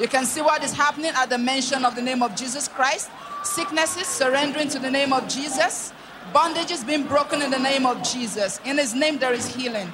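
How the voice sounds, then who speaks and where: With noticeable background noise behind her, a woman speaks at a fairly quick pace in a high pitch with ordinary pitch variation. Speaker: TV ministry narrator. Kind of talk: scripted narration.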